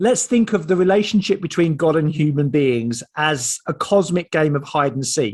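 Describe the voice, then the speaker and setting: Against a quiet background, a man with an Essex accent speaks at a moderate pace in a fairly high pitch. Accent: Estuary Essex. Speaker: theologian and author. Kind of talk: online seminar talk. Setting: video call.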